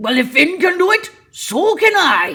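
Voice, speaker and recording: Using a put-on character voice, a woman speaks at an extremely high pitch and a moderate pace. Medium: read story.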